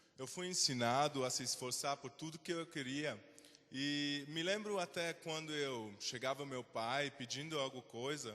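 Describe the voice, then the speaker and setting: A man with a Swiss German accent has a bright, sharp tone at a fairly high pitch, speaking at a fairly slow pace with ordinary pitch variation. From Switzerland. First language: Swiss German (speaking Portuguese). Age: 20s. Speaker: invited speaker. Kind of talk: talk to students.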